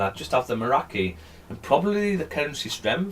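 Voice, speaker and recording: With a British accent, a man talks at a moderate pace, his pitch swinging very widely. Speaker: live trading streamer. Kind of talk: live trading stream, explaining to chat. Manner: mumbling.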